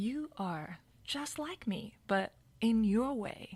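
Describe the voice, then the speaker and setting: A woman with a Japanese accent speaks at a fairly high pitch with lively intonation. The recording is very clean, with a silent background. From Japan, Hokkaido. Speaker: dancer and storyteller. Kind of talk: personal storytelling.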